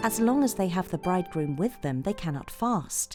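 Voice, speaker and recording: A woman speaks in a calm, soothing tone at a moderate pace, her pitch fairly low. Music plays in the background. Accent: British. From England. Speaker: voice actor. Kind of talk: bedtime Bible story reading.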